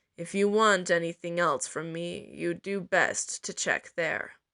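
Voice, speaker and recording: A woman puts on a raspy character voice at a fairly low pitch, recorded dry and close with no echo. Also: fairly slow pace. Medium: read story. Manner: sly, calculating, taunting.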